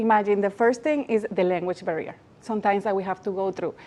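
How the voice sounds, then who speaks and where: A dark, mellow tone with fairly even intonation and a Spanish accent. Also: woman. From Latin America. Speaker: magazine founder and awards organizer. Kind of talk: TV interview.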